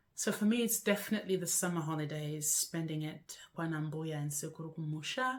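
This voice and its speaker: Moderate pace and a somewhat breathy quality in a woman's delivery. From Zimbabwe (Bulawayo, Masvingo). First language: Shona. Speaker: lifestyle vlogger. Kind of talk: casual vlog to camera.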